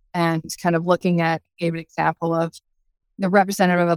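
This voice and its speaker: A woman talks at a fairly quick pace in a normal speaking voice, fairly low in pitch, with fairly even intonation. The sound is dry and close, with no echo. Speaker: audience participant. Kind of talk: group discussion.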